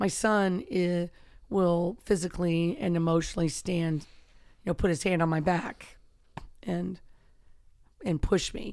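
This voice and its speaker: A woman speaks at a fairly low pitch with fairly even intonation. Her pauses are long and frequent. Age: 50s. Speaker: wrestling and MMA coach. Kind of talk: casual chat.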